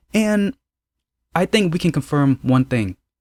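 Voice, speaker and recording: A man with a plain, everyday voice talks at a moderate pace with ordinary pitch variation, the sound dry and close with no echo on a very clean recording with a silent background. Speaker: drama reviewer YouTuber. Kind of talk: casual video review.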